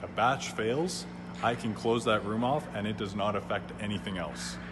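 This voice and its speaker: Moderate-paced speech from a man, noticeable noise in the background. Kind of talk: interview answer. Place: factory. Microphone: phone near.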